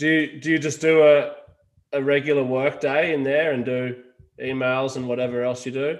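A man's fairly high voice in an Australian accent, with monotone, flat intonation. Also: moderate pace. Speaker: podcast host. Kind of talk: casual interview chat.

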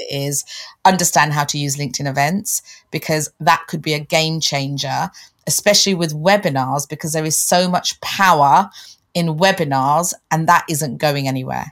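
A woman talks at a very deep, low pitch. Her pace is moderate and her pitch varies in an ordinary way. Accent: London. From London, England. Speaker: LinkedIn coach and podcast co-host. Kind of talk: casual interview chat.

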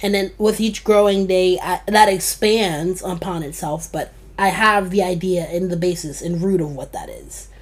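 At a moderate pace with hardly any pauses, a woman speaks at medium pitch with big swings in loudness. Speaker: podcast host. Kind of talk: casual chat. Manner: animated.

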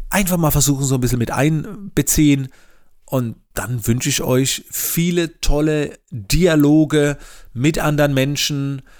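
The recording is very clean, with a silent background. A man speaks at a fairly slow pace with a fairly high pitch and ordinary pitch variation. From Palatinate, Germany. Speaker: podcast host and coach. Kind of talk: solo podcast monologue. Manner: frequent filler sounds; casual.

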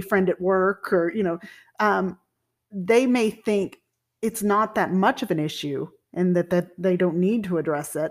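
A woman with an American accent and an unremarkable speaking voice talks at a fairly slow pace and medium pitch on a very clean recording with a silent background. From Texas (Sherman). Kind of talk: casual chat.

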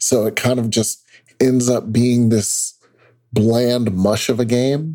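A man speaks at a very slow pace with a medium pitch and a dark, mellow tone. His intonation is fairly even, and his loudness stays very even. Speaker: games journalist and podcast co-host. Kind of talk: casual chat.

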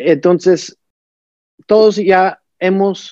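A man speaks with a high pitch and a dark, mellow tone. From United States, Colombian family. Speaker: men's support group facilitator. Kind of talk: casual interview.

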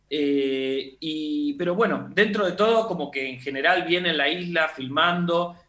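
A man with a normal speaking voice talks at a fairly slow pace with hardly any pauses, a fairly high pitch and ordinary pitch variation. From southern Argentina. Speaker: film director and teacher. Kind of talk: interview.

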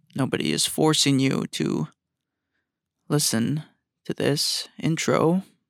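A man speaks at a very slow pace with long, frequent pauses. The sound is dry and close, with no echo. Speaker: podcast host. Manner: low energy, flat, sounds glum.

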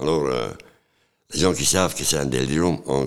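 A man's very deep, low voice with vocal fry, in a Dutch accent. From Flanders, Belgium. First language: Dutch (speaking French). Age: 60s. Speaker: sculptor, former street person. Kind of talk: life-story interview. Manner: halting.

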